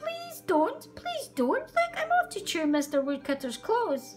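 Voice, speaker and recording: With music in the background, a woman uses a put-on character voice that is squeaky and extremely high-pitched. Her pace is fairly slow. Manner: pleading, scurrying.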